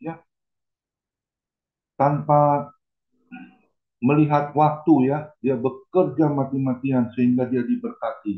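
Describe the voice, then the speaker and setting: Speaking at a very slow pace, a man with a fairly high pitch shows ordinary pitch variation. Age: 60s. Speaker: pastor. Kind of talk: sermon.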